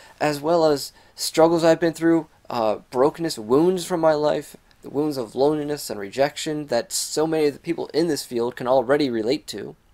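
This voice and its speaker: Over a quiet background, a man speaks at a moderate pace in a dark, mellow tone with ordinary pitch variation. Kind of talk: casual vlog chat. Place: home room. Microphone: webcam.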